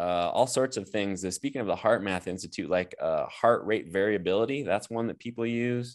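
With an American accent and a normal speaking voice, a man talks at a fairly quick pace with hardly any pauses, his medium pitch showing ordinary variation over a quiet background. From US Midwest (Nebraska). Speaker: chiropractor and healer. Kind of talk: interview.

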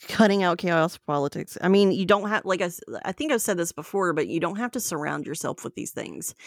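Talking at a fairly quick pace with hardly any pauses, a woman with a fairly low pitch and a slight Southern US accent sounds dry and close with no echo on a very clean recording with a silent background. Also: ordinary pitch variation. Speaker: co-host. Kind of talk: casual chat.

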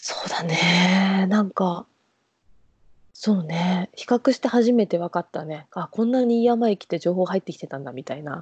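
A woman talks at a moderate pace, and her intonation is lively. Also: medium pitch for a woman, big swings in loudness. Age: 20s. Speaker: tourism worker. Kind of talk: casual chat.

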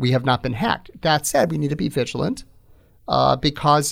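A man talks with a General American accent and vocal fry. His intonation is lively and his pace moderate. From Phoenix, Arizona. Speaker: attorney and political activist. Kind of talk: interview.

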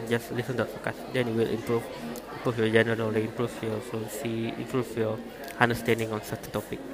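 Music plays behind a man speaking at a very fast pace. His pitch is medium, and he has a Malaysian accent. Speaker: podcaster. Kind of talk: casual monologue on learning English. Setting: noisy surroundings. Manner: halting, many repetitions.

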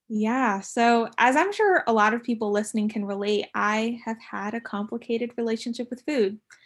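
An ordinary speaking voice from a woman with an American accent, fairly high pitch, fairly even intonation, moderate pace and hardly any pauses, on a very clean recording with a silent background. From San Diego, California. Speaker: student podcast co-host. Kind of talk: casual chat.

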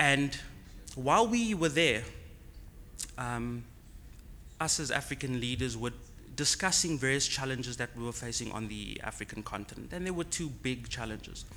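Audible room echo surrounds a man who leaves long, frequent pauses. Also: moderate pace. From South Africa, Cape Town. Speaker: tech startup founder. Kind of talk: conference talk. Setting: conference on location.

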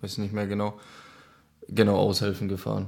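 A man with a Czech accent and a fairly low pitch. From Czech Republic, near Olomouc. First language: Czech (speaking German). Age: 20s. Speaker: ice hockey player. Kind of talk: interview.

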